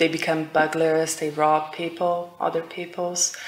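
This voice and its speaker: A woman's fairly low voice in flat, monotone intonation, with audible room echo. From Brazil. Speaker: IELTS speaking test candidate. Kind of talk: speaking exam interview. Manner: halting, many fillers.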